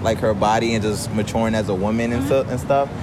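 A man at a medium pitch and a very fast pace, fairly even intonation, audible room echo and noticeable background noise. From African background. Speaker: podcast host. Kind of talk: casual chat. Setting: outdoors.

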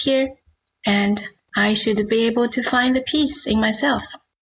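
Speaking fairly slowly, a woman with a Chinese accent uses a fairly high pitch and ordinary pitch variation. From China. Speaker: novelist. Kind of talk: interview.

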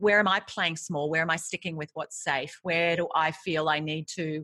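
In a very clean recording with a silent background, a woman speaks with an Australian accent at a moderate pace. Her tone is bright, sharp and energetic. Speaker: author and leadership coach. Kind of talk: interview.

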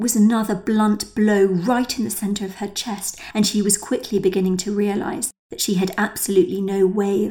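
A natural reading voice. Nothing else stands out.

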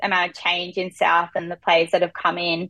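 A woman speaks with an Australian accent. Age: 20s. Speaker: footballer. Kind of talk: interview.

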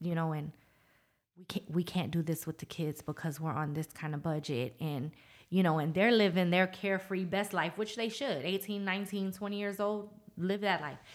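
A woman speaks in a plain, everyday voice with an American accent, her pitch fairly low and its variation ordinary. The pace is moderate, and the recording is very clean with a silent background. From Norfolk, Virginia. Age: 40s. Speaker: lash salon owner. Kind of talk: casual interview.

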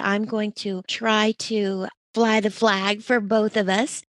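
Recorded with a dry, close sound and no echo, a woman has an ordinary speaking voice at medium pitch with fairly even intonation. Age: 60s. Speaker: podcast host. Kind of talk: interview; scripted intro.

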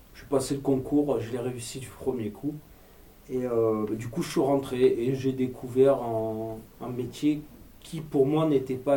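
Speaking at a very slow pace, a man with a dark, mellow tone and medium pitch keeps his intonation fairly even, with audible room echo around him. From Marseille, southern France. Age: 30s. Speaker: actor and screenwriter, former police officer. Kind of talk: interview.

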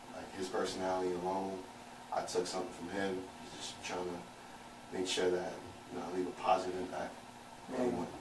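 A man with an American accent speaks at a very deep, low pitch in a monotone, flat intonation, at a fairly quick pace with long, frequent pauses. Noticeable background noise and audible room echo are present. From Brooklyn, New York (Canarsie). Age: 30s. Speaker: podcast guest. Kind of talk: casual chat. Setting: studio.

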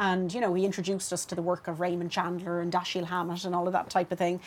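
A woman talks with a Dublin accent. Her pace is very fast. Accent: Dublin Irish. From Dublin, Ireland (Clondalkin). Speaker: fiction writer. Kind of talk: casual chat.

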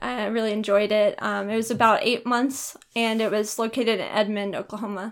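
This voice has an American accent and a moderate pace. Its intonation is monotone and flat. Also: woman. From Texas. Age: 20s. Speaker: college student. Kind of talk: casual interview.

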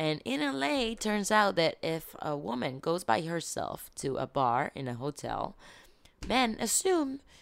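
A woman talks at a fairly slow pace with very wide pitch swings. The recording is very clean, with a silent background. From Israel. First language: Hebrew. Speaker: TV journalist. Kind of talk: casual chat.

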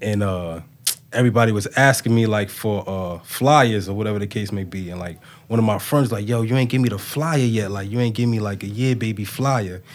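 A man's fairly low voice with ordinary pitch variation, at a fairly quick pace. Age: 20s. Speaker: entrepreneur. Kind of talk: casual chat.

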